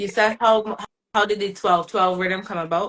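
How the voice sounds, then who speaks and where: In a Bajan accent, a woman speaks with flat, monotone intonation. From Barbados. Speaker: soca singer. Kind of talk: casual interview.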